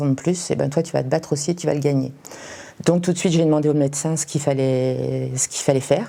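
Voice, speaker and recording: Amid noticeable background noise, a woman speaks with fairly even intonation at a very deep, low pitch. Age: 60s. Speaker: cancer patient. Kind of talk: testimony. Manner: hesitant, many fillers.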